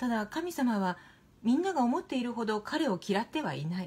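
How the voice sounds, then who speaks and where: Somewhat breathy and calm, a woman speaks in a soothing tone at a moderate pace with very wide pitch swings. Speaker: narrator. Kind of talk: literary reading. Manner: calm, soothing. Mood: calm, gentle, soothing. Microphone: phone near.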